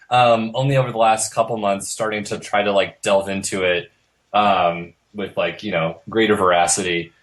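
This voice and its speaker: Speaking at a moderate pace, a man uses an unremarkable speaking voice that is fairly low and fairly even in intonation. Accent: American. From US Midwest (Iowa). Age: 20s. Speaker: tarot deck artist. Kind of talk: interview.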